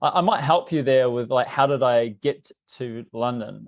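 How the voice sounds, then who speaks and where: Against a quiet background, a man talks at a moderate pace with a medium pitch and ordinary pitch variation. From New Zealand. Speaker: tech company CEO. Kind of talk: podcast interview.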